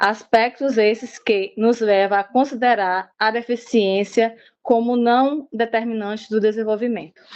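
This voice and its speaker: A woman's normal speaking voice, fairly high in pitch, at a fairly slow pace with fairly even intonation and very even loudness. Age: 40s. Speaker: university student presenting group work. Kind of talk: student presentation.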